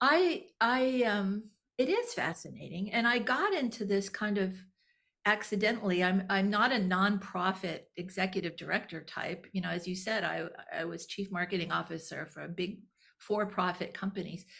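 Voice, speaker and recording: In an American accent, a bright, sharp voice moves at a moderate pace with ordinary pitch variation. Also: woman, medium pitch for a woman, very clean recording, silent background. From Texas. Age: 60s. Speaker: nonprofit executive director. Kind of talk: interview. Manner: halting, many repeated words.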